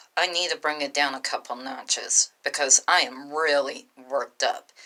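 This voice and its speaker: A woman speaks with a strong Southern US accent and a very deep, low pitch. Her tone is bright and sharp. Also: ordinary pitch variation, moderate pace. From US South. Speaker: vlogger. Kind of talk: casual vlog rant.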